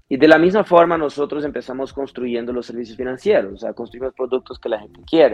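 A man's normal speaking voice at a fairly quick pace with ordinary pitch variation. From Brazil. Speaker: fintech executive. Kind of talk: interview.

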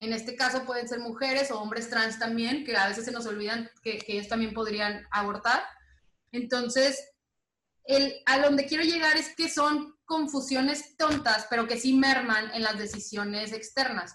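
Bright and sharp in tone, a woman speaks at a high pitch and a moderate pace with ordinary pitch variation. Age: 20s. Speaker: lawyer and LGBT activist. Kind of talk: interview.

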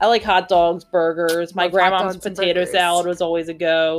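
Music plays in the background as a woman speaks at a medium pitch in a Philadelphia accent. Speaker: podcast co-host. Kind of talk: casual, conversational.

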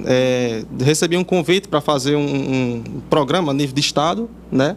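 A man is speaking. His intonation is lively. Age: 20s. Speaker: video producer. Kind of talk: interview.

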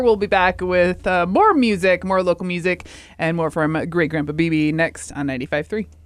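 A woman's unremarkable speaking voice, medium in pitch, at a fairly slow pace. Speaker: radio host. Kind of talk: radio dj patter. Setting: radio studio. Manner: friendly, upbeat, chatty.

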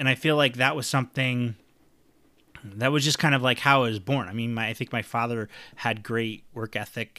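The man's tone is bright and sharp, at medium pitch. He keeps a moderate pace. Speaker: podcast host. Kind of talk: solo monologue podcast. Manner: rambling, hesitant with many fillers and repetitions.

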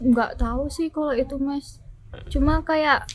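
At a fairly slow pace, a woman speaks in a high voice with fairly even intonation. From Yogyakarta, Indonesia (born in Austria, moved as small child). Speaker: writer. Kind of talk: casual interview chat. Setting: cafe.

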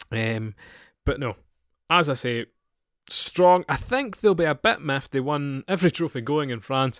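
Lively intonation with a Scottish accent at a moderate pace, long, frequent pauses, and a dry, close sound with no echo in a very clean recording with a silent background. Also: man, fairly high pitch for a man. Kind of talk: casual chat.

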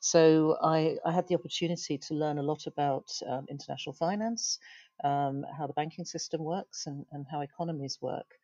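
With a British accent, a woman speaks at a moderate pace in a very deep, low pitch with a dark, mellow tone and fairly even intonation, the sound dry and close with no echo over a quiet background. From UK. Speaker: tech startup founder and CEO. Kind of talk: interview. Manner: halting, many fillers.

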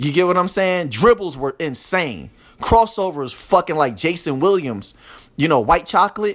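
Animated in tone, a man with an American accent speaks at a high pitch and a moderate pace with lively intonation. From US urban inner city. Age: 30s. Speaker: podcast host. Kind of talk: casual monologue.

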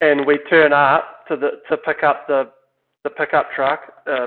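Monotone and flat, a man with a New Zealand accent speaks at a fairly high pitch. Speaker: downhill mountain bike team manager. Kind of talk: casual chat. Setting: remote recording.

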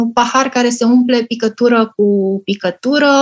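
A woman's high voice at a very slow pace. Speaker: communications professional and museum project founder. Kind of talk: interview.

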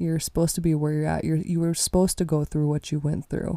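Recorded dry and close with no echo, a woman speaks fairly quickly in a very deep, low voice with a dark, mellow tone. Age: 20s. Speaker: podcast host and musician. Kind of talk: casual solo monologue. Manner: animated.

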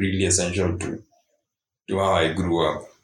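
A man speaks in a very deep, low pitch. His voice is somewhat breathy. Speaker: co-host or guest, singer. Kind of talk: casual conversation. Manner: goes higher, tenor, when excited.

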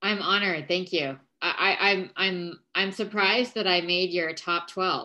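A woman speaks in a bright, sharp tone. Her intonation stays fairly even. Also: medium pitch for a woman, fairly slow pace. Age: 40s. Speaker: founder of a wellness movement. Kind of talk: casual chat.

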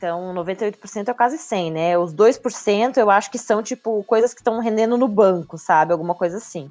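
With an ordinary speaking voice, a woman talks at a moderate pace and medium pitch, with ordinary pitch variation, big swings in loudness, and hardly any pauses. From southern Brazil, Joinville (Santa Catarina). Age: 30s. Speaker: marketing professional. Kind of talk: casual interview.

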